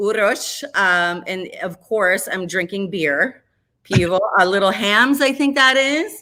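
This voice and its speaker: Speaking at a very slow pace, a woman uses a bright, sharp tone at medium pitch with lively intonation. She has an Upper Midwest US accent. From Minnesota, Minneapolis area. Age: 40s. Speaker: radio host. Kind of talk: casual chat.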